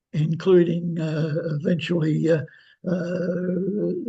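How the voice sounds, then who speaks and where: A man's high-pitched voice at a very slow pace, with fairly even intonation. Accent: Australian. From Australia. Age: 80s+. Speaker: historian. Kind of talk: interview. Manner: halting, many fillers.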